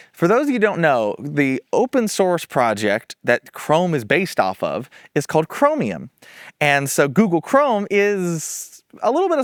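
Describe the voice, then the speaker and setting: A man with an American accent has a fairly high voice that moves in very wide pitch swings. The sound is dry and close, with no echo. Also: very clean recording, silent background. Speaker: tech YouTuber. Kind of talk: casual commentary. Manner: casual, hesitant with fillers.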